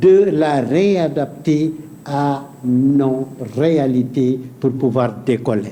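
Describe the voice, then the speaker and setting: A man with a Senegalese accent speaks with ordinary pitch variation. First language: Pulaar (speaking French). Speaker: painter. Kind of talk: talk show interview. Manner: hesitant, repetitive.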